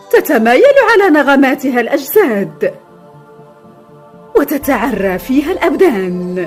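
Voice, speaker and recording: Music plays in the background while a woman talks at a very slow pace. Her pitch is high, with very wide swings. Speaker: voice-over artist. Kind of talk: documentary narration.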